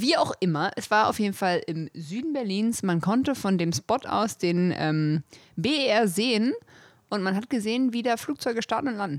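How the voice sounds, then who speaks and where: Her medium-pitched voice swings very widely in pitch. The woman speaks at a moderate pace, with a dry, close sound and no echo. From German village. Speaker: podcast co-host. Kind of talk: casual chat.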